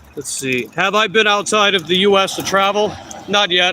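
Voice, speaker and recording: With a strong Long Island accent and a high pitch, a man speaks in a raised, projected voice at a moderate pace over noticeable background noise. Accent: thick Long Island New York. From Long Island, New York. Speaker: food delivery bike courier streamer. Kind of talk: casual live stream chat.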